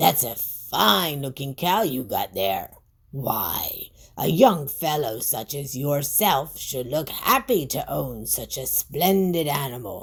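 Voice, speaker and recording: A put-on character voice, creaky and raspy, at a low-to-middle pitch and a fairly slow pace. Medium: read story.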